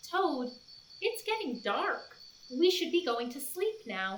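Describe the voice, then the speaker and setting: A woman performs a put-on character voice at a high pitch, swinging very widely up and down at a fairly slow pace. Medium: read story. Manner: gentle.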